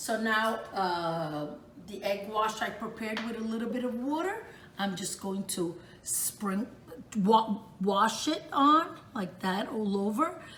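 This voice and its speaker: The speech comes at a very slow pace with lively intonation, amid noticeable background noise and audible room echo. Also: woman, fairly high pitch for a woman. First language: Italian. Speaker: home cook, cooking channel host. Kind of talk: cooking tutorial. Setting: home kitchen. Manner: casual, chatty.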